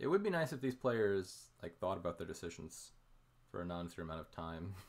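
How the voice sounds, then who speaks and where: Very deep and low, a man's voice moves at a fairly quick pace with ordinary pitch variation. The recording is very clean, with a silent background. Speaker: game commentator. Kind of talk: live commentary. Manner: halting.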